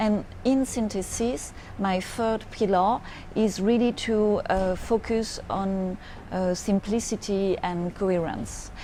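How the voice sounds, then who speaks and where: A woman speaks at a very slow pace in a French accent. Her pitch sits in the medium range. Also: fairly even intonation. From France. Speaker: futurist business advisor. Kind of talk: monologue to camera. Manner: halting, frequent hesitations.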